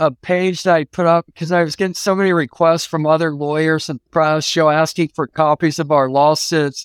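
A man with an ordinary speaking voice and a fairly high pitch speaks at a moderate pace with hardly any pauses and fairly even intonation. The recording is very clean with a silent background and a dry, close sound with no echo. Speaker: civil rights attorney. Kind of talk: casual interview. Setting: studio.

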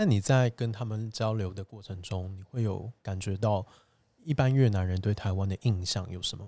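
On a very clean recording with a silent background, a man with a dark, mellow tone and a fairly low pitch speaks at a moderate pace. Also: ordinary pitch variation. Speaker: podcast host. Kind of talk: interview-style casual chat. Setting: borrowed venue, indoor recording.

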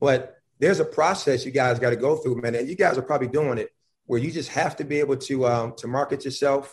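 With an American accent, a man speaks at a very fast pace and a fairly high pitch. His voice is somewhat breathy, and his intonation is fairly even. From Buffalo, New York. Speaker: college basketball head coach. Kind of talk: casual chat. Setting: video call.

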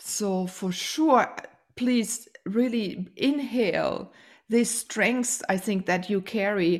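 With a German accent and ordinary pitch variation, this voice comes through on a very clean recording with a silent background. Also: woman. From Germany. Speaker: podcast host. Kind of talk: interview. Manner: warm, effusive.

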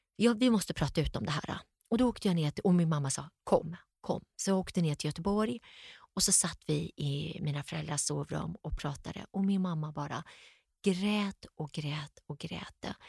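A woman speaks at a moderate pace in a fairly low, somewhat breathy voice with ordinary pitch variation. The sound is dry and close with no echo, in a very clean recording with a silent background. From Sweden, Gothenburg. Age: 50s. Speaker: entrepreneur. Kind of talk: interview. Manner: animated.

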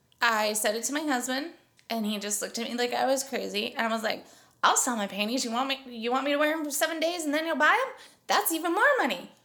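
A woman talks at a very fast pace in a high pitch, her voice raised and projected. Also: lively intonation. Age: 40s. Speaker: podcast host. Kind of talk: casual chat.

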